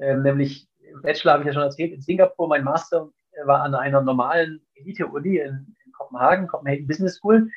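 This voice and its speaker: A man talks at a very fast pace in a fairly high pitch, with ordinary pitch variation and big swings in loudness. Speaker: endurance athlete and entrepreneur. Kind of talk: interview. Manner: halting, with fillers and repetitions.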